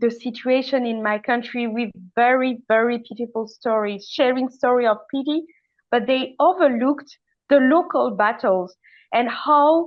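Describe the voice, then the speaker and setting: Fairly slow speech in a French accent with ordinary pitch variation. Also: woman. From Madagascar. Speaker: climate activist. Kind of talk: panel discussion. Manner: halting, many fillers and restarts.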